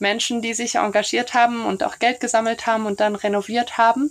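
Fairly high in pitch, a woman speaks in an ordinary speaking voice with fairly even intonation. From Brussels, Belgium. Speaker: neighbourhood café organiser. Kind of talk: casual interview.

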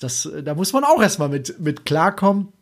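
On a very clean recording with a silent background, a man with an unremarkable speaking voice talks fairly slowly at a fairly high pitch. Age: 20s. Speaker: podcast host. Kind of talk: solo podcast monologue.

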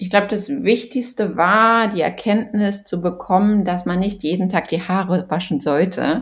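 A woman speaks at a moderate pace and medium pitch. Her voice is somewhat breathy, with ordinary pitch variation. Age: 30s. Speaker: blogger and influencer. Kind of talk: casual chat.

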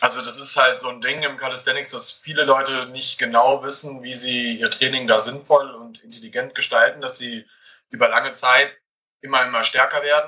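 At a moderate pace, a man with a medium pitch speaks in monotone, flat intonation while his loudness swings widely. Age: 20s. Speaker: calisthenics head coach. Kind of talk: interview. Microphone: far from the mic at times, poor connection.

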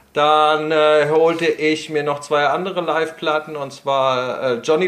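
A man with a fairly high pitch talks at a fairly slow pace in a plain, everyday voice. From Prague, Czech Republic. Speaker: guitarist and guitar teacher. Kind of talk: casual interview.

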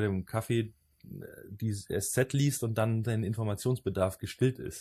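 Somewhat breathy and dark, mellow in tone, a man's voice moves with ordinary pitch variation. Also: very clean recording, silent background. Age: 30s. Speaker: podcast host. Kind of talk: casual chat.

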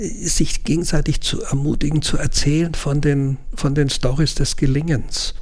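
Against noticeable background noise and audible room echo, a man speaks at a fairly slow pace with hardly any pauses. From Austria (Salzburg). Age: 60s. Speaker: retired regional bishop. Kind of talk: interview. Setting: in person, sitting across.

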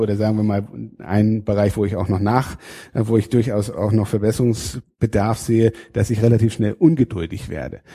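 The recording is very clean with a silent background, carrying a man's fairly low, dark, mellow, somewhat breathy voice. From northern Germany, Schleswig-Holstein (Fehmarn). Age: 30s. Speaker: state parliament politician. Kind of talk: interview. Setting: state parliament building. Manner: frequent hesitations (äh).

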